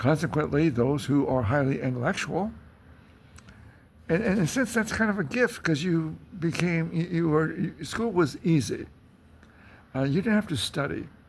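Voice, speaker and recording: Vocal fry runs through this man's speech, and his intonation is lively. He pauses often and at length. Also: fairly high pitch for a man, moderate pace. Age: 80s+. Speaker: philosophy teacher and author. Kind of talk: informal talk to camera. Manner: halting, many fillers.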